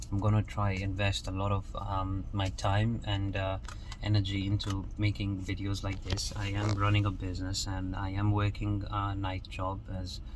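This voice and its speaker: Audible room echo and noticeable background noise surround the recording. A man speaks at a moderate pace, his fairly low pitch held in fairly even intonation. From Kenya. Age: 20s. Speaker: motivational vlogger. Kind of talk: motivational monologue. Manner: casual, with frequent repetitions and fillers.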